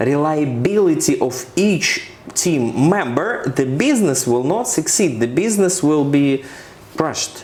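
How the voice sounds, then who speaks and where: With a Ukrainian accent and lively intonation, the speaker talks at a fairly slow pace at a very even loudness, with audible room echo and noticeable background noise. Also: man, fairly high pitch for a man. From Ukraine. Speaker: corporate finance expert. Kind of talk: interview. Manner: halting, with fillers and repetitions.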